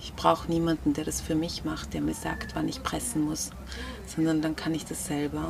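Room echo is audible as a woman talks against noticeable background noise. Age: 30s. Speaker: researcher and mother sharing birth story. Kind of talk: interview, personal testimony. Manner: hesitant, many filler sounds.

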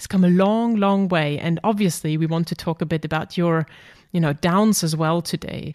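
A woman speaks with a German accent and a fairly low pitch. The recording is very clean, with a silent background and a dry, close sound with no echo. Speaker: podcast host and psychologist. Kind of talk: interview.

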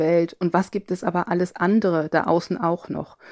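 A woman's ordinary speaking voice, fairly even intonation and moderate pace, dry and close with no echo, on a very clean recording with a silent background. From Cologne area, Germany. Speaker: linguistics professor. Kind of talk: interview.

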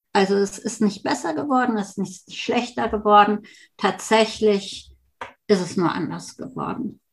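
The pace is fairly slow, with vocal fry throughout. Pitch varies in an ordinary way. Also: woman, medium pitch for a woman. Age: 60s. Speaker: family therapist and breast cancer survivor. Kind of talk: interview conversation.

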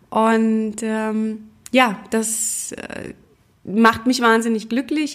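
A woman with a normal speaking voice, fairly high pitch and fairly even intonation. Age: 30s. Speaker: podcast host, single mother and graphic designer. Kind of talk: personal monologue podcast. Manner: casual with frequent filler words.

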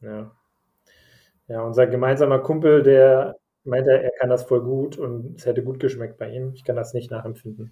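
Delivered at a moderate pace in a monotone, flat intonation, the speech has long, frequent pauses and big swings in loudness. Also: man, medium pitch for a man. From Germany, Bavaria (Nuremberg) and Hesse (Frankfurt area). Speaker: podcast host. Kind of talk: casual chat. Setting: home office, remote recording.

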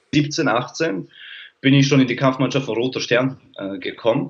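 A man has an ordinary speaking voice at a medium pitch. He talks at a moderate pace. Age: 30s. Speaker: sports mental coach. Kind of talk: casual interview. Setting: streamed live on social media.

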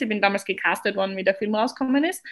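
Her pitch medium and its variation ordinary, a woman speaks with an Austrian accent. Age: 20s. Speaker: professional figure skater. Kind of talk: podcast interview.

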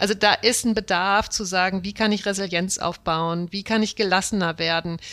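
A woman's bright, sharp tone with fairly even intonation, in a very clean recording over a silent background. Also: medium pitch for a woman, moderate pace. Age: 40s. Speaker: management consultant. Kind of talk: interview.

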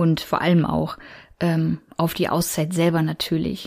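The tone is dark and mellow, and the delivery moves at a fairly slow pace. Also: woman. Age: 30s. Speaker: podcast host. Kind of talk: solo podcast monologue. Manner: many filler sounds.

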